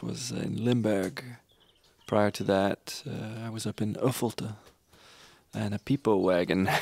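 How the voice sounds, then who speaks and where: Speaking at a fairly slow pace, a man with a fairly low pitch and vocal fry shows ordinary pitch variation. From Canada. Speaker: singer-songwriter. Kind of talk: interview storytelling. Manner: halting.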